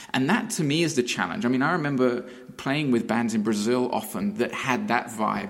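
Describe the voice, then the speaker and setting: A man speaks at a fairly quick pace and a medium pitch. His pitch swings very widely while his loudness stays very even. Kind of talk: casual podcast discussion.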